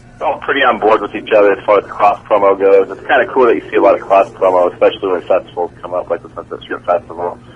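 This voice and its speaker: Noticeable background noise fills the recording. The words come out at a very fast pace. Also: man. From San Francisco. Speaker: rock musician. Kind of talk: radio interview.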